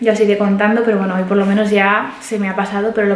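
Audible room echo surrounds a woman who talks fast at medium pitch with fairly even intonation.

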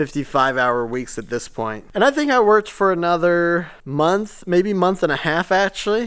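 A man's words come at a medium speed. Behind him, all is still. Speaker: shop owner vlogger. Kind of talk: casual vlog storytelling. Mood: upbeat, reflective. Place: workshop. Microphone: phone near.

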